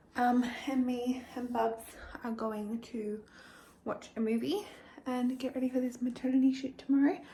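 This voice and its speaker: Pausing long and often, a woman speaks at a moderate pace in a high pitch with fairly even intonation, amid noticeable background noise. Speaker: lifestyle vlogger. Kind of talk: casual vlog talk to camera.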